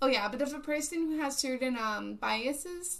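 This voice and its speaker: The voice is loud, with audible room echo. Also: woman. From Puerto Rico. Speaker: live streamer. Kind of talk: casual live stream chat. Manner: casual, filler-heavy.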